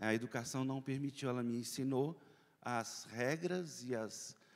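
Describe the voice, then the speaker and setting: Ordinary pitch variation marks a man's speech at a medium pitch. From Brazil, Belo Horizonte (Minas Gerais). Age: 60s. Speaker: journalist and panel moderator. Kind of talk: conference opening remarks. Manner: halting, many fillers.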